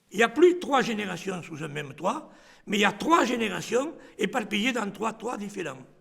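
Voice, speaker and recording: Amid noticeable background noise, a man talks at a high pitch with very wide pitch swings. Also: moderate pace. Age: 80s+. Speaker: interviewee. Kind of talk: documentary interview.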